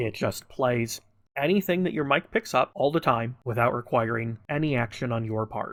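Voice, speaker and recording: This man talks at a moderate pace with a medium pitch, a plain, everyday voice and lively intonation. The recording is very clean, with a silent background. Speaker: gaming tutorial creator. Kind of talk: tutorial.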